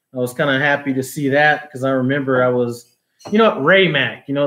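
At a fairly quick pace, a man speaks with a fairly high pitch against a quiet background. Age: 40s. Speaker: cooking YouTuber; cooking channel host. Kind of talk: live stream Q&A. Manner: casual, filler-heavy. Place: home room. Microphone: phone near.

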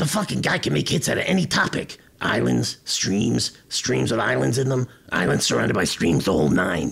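In a cartoonish character voice, a man speaks raspy and very deep, with very wide pitch swings at a moderate pace. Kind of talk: comedy podcast banter. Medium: puppet.

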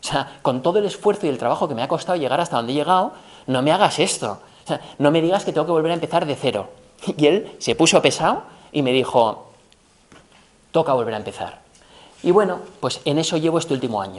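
A man's fairly high voice, very fast, with lively intonation. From Spain. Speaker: business professor, former tech executive; business professor. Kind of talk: lecture. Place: hall. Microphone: camera far.

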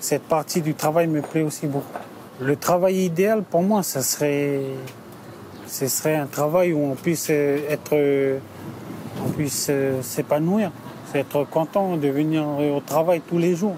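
Noticeable background noise surrounds a man speaking at a very slow pace with long, frequent pauses and fairly even intonation, in a dry sound with no echo. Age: 30s. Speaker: delivery driver. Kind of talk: interview testimony; interview answer. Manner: halting. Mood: calm, reflective. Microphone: lapel.

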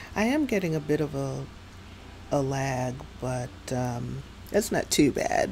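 Light background noise sits behind a woman who speaks fairly slowly with long, frequent pauses. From New York City area. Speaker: gaming streamer. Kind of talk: live game stream commentary. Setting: home streaming setup with USB microphone. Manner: casual, chatty with filler words. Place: home room. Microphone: headset.

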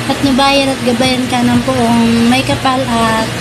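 With music in the background, a woman speaks at a very slow pace. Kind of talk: birthday greeting message. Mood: warm, cheerful. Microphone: phone near.

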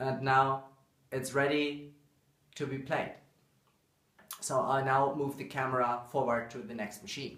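The voice has a fairly bright tone and little pitch movement, set in strong room echo. Delivery is fairly slow, with long, frequent pauses. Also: man, medium pitch for a man.

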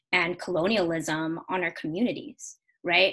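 A woman talks over a quiet background. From US, Carson, Los Angeles area; California. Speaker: panel moderator, former student organization president; panel moderator. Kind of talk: online panel moderation. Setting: online video seminar. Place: home room. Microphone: video call.

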